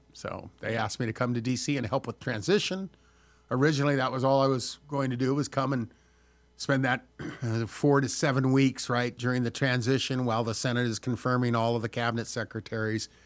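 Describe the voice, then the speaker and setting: Over a very clean recording with a silent background, a man with an unremarkable speaking voice talks at a fairly quick pace, medium pitch and fairly even intonation. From Southern California. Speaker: former state senator. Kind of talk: interview.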